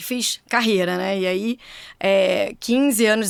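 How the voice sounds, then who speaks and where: Speaking at a fairly slow pace, a woman talks with a Rio de Janeiro accent. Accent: carioca. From Rio de Janeiro, Brazil. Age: 40s. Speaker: engineer and former corporate executive, now mentor. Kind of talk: podcast interview.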